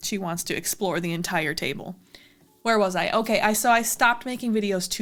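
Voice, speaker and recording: Over music in the background, a woman talks at a moderate pace and medium pitch with ordinary pitch variation. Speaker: video blogger. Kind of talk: casual talk to camera. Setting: home, at a table with cat. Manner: halting.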